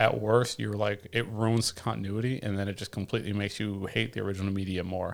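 A man with an American accent and an ordinary speaking voice, fairly low in pitch, at a moderate pace, on a very clean recording with a silent background. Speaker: podcast co-host. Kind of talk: casual chat.

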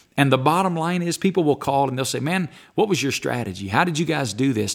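A man speaks with an Alabama accent at a fairly high pitch. There is vocal fry in his voice, and the recording is very clean with a silent background. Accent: Southern US (Alabama). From US South, Alabama. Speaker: pastor. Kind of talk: interview. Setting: studio.

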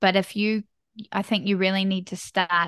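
With a New Zealand accent, a woman speaks at a medium pitch and moderate pace with fairly even intonation, her voice dry and close with no echo against a quiet background. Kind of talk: casual interview chat.

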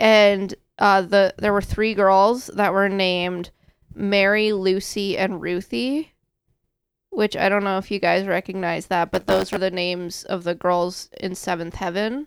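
This is a normal speaking voice, moving at a fairly slow pace with fairly even intonation. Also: woman, medium pitch for a woman. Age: 20s. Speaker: podcast host. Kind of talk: casual chat. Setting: studio.

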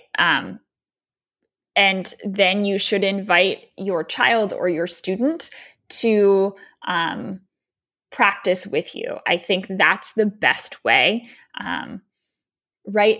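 A woman with an American accent speaks at a very slow pace with long, frequent pauses, her medium-pitched voice bright and sharp in tone with ordinary pitch variation. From US, Baltimore, Maryland. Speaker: yoga teacher and educator. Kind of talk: interview.

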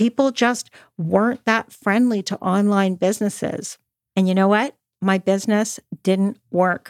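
In a Canadian accent, a normal speaking voice moves at a fairly slow pace with fairly even intonation. The sound is dry and close, with no echo. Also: woman, medium pitch for a woman. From Canada, Toronto. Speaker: podcast host, author and entrepreneur. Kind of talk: personal storytelling and motivational talk.

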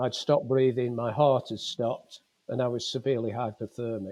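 This man has a Lancashire accent and a dark, mellow tone. He talks at a moderate pace. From northern England, Fleetwood, Lancashire. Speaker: retired police officer and lifeboat volunteer. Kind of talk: testimony.

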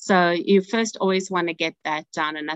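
In a South African accent, a woman speaks at a fairly slow pace with fairly even intonation, the sound dry and close with no echo. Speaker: family therapist. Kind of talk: interview.

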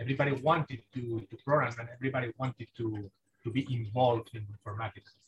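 A man with a Spanish accent, somewhat breathy, at a moderate pace, in a dry, close sound with no echo. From Spain. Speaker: software engineer, mission commander. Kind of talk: casual chat. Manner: halting.

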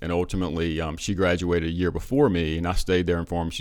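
In an American accent, a man with a very deep, low voice talks at a very fast pace in a monotone, flat intonation. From US South, eastern North Carolina. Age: 40s. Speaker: pharmacist. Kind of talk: interview.

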